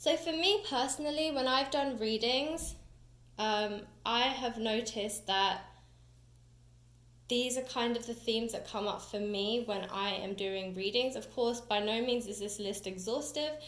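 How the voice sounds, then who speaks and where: With a British accent and a fairly high pitch, a woman speaks at a fairly slow pace in a room with audible echo. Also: ordinary pitch variation. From UK. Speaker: tarot reader and teacher. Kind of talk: tutorial. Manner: casual, chatty.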